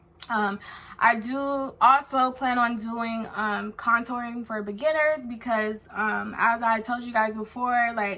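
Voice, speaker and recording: Noticeable background noise sits under this recording. A woman with an American accent speaks at a fairly high pitch with fairly even intonation. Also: fairly slow pace. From California. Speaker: beauty vlogger. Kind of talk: product review vlog. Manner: casual, filler-heavy.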